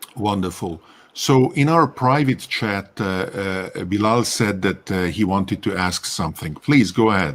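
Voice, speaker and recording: With a Hungarian accent, a man speaks at a fairly slow pace, his fairly low pitch carrying lively intonation. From Hungary, Budapest. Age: old. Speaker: live stream host. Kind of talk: casual chat.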